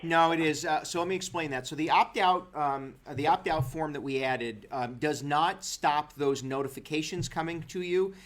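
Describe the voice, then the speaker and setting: The speech has hardly any pauses. The pitch variation is ordinary. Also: man, fairly high pitch for a man. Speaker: county executive hosting a town hall. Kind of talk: telephone and livestream town hall Q&A. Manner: fast; halting, many fillers.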